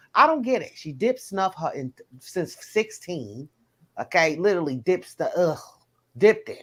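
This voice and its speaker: A woman with a Southern US accent talks at a moderate pace, with big swings in loudness and very wide pitch swings. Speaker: live stream host. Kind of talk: casual chat. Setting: live stream.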